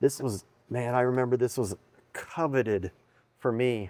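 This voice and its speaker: A man with an American accent. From Texas, Odessa. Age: 50s. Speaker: mechanic. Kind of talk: shop tour chat. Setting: workshop.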